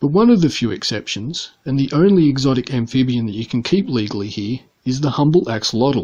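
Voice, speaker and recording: Speaking in an Australian accent, a man talks at a fairly quick pace. His pitch is medium and his intonation lively. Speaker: pet keeper vlogger. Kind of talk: scripted narration.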